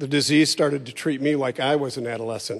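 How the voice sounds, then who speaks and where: An ordinary speaking voice runs at a fairly quick pace with fairly even intonation. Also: man. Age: 60s. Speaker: church member. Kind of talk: testimony.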